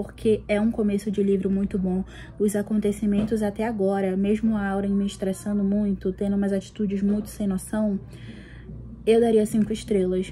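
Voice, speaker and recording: A woman speaks at a moderate pace in a medium pitch, somewhat breathy. Her intonation stays monotone and flat. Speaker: book vlogger. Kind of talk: casual vlog.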